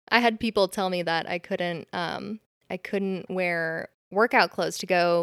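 In a normal speaking voice with an American accent, the speaker goes at a fairly slow pace with fairly even intonation. The recording is very clean and dry, close, with no echo and a silent background. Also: woman. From California. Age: 20s. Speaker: bridal brand founder. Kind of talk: casual interview.

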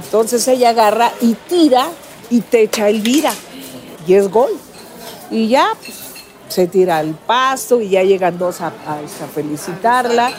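Against noticeable background noise, a woman with a Mexico City accent speaks at a fairly slow pace with lively intonation and long, frequent pauses. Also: fairly high pitch for a woman. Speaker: retired footballer. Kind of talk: interview. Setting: cafe.

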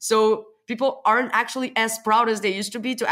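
This woman speaks with a Portuguese accent. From Portugal. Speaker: software developer. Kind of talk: casual interview chat. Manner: animated, laughs often.

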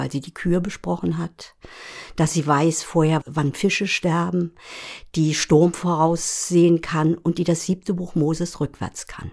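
A woman speaks at a very slow pace with a fairly low pitch. Her intonation stays fairly even. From Rügen, northeastern Germany. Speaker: podcast co-host, screenwriter. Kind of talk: casual conversation.

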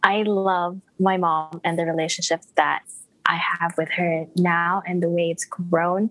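A woman talks with an American accent at a medium pitch. Her pace is fairly slow. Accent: international, American-sounding English. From Malaysia. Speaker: product manager. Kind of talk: casual chat.

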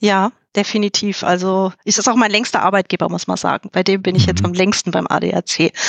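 A woman with vocal fry talks at a fairly quick pace and medium pitch with fairly even intonation, in a dry, close sound with no echo and a quiet background. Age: 40s. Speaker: HR specialist. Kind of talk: podcast interview.

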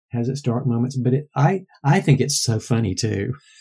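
With an American accent, a man speaks at a moderate pace and medium pitch, his voice somewhat breathy. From US South, Georgia. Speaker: novelist and library advisor. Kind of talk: interview.

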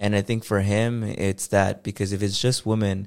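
A very clean recording with a silent background of a man's fairly low voice in a monotone, flat intonation. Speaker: podcast co-host. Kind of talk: casual chat.

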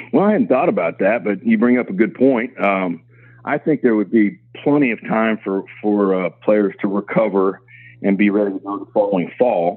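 A man with a Midwestern American accent, fairly low pitch and ordinary pitch variation, at a moderate pace. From Kansas. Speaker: college football administrator. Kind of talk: interview.

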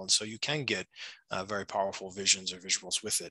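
A man with an American accent, bright and sharp in tone, fairly quick, with ordinary pitch variation and a dry, close sound with no echo. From United States. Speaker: shamanic practitioner. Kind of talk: interview.

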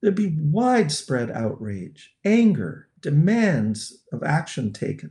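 A man with a fairly high pitch and a dark, mellow, somewhat breathy tone swings very widely in pitch. He talks at a very slow pace with hardly any pauses. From Canada. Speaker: sociology professor and researcher on violence against women. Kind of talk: interview.

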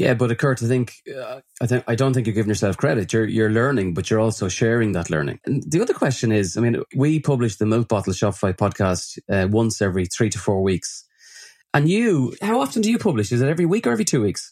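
A man's medium-pitched voice in an Irish accent, very fast and lively in intonation, on a very clean recording with a silent background. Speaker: podcast host, agency founder. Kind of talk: interview conversation.

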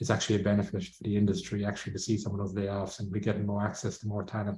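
In an Irish accent, a man talks at a very fast pace with a fairly low pitch and a dark, mellow, somewhat breathy tone. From Ireland. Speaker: outsourcing company executive. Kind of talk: interview.

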